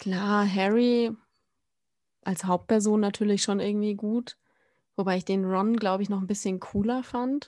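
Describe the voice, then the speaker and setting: In a dark, mellow tone and a medium pitch, a woman speaks with monotone, flat intonation at a fairly slow pace, leaving long, frequent pauses. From Baden-Württemberg, mostly Baden-Baden (born Frankfurt, moved around). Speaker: podcast co-host. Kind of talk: casual chat.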